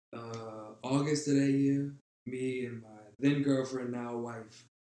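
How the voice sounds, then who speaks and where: In a New Orleans accent, a man speaks at a very slow pace with monotone, flat intonation, a medium pitch and big swings in loudness, with audible room echo. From New Orleans, Louisiana. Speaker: artist. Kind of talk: casual chat.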